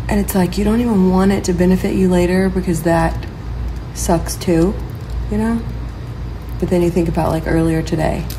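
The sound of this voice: Clear background noise sits behind a woman speaking at a moderate pace. Her pitch is fairly low and her intonation fairly even.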